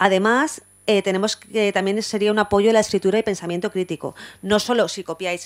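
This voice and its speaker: A woman at medium pitch, in a dry, close sound with no echo, on a very clean recording with a silent background. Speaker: university law lecturer. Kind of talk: conference talk. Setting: university lecture hall with audience. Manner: fast.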